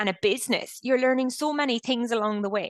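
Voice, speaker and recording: A woman with an Irish accent and a high pitch talks at a moderate pace against a quiet background. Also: dry, close sound with no echo. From Ireland. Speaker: company founder and CEO. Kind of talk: interview.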